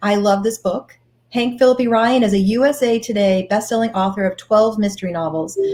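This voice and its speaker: A Boston accent at a moderate pace, with ordinary pitch variation. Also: woman. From Boston area. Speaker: bookstore host. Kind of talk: author interview.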